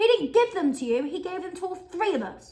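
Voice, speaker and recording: A woman uses a put-on character voice, shrill and extremely high in pitch, at a fairly quick pace. Her pitch swings very widely and her loudness rises and falls sharply. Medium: read story.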